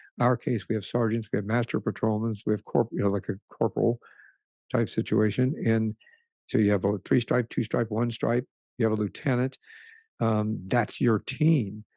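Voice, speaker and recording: In an American accent, a man speaks at a moderate pace with medium pitch, ordinary pitch variation, a dark, mellow tone and very even loudness, in a dry, close sound with no echo. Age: 60s. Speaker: retired police sergeant. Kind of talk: interview testimony. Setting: podcast interview. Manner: halting, many fillers and restarts.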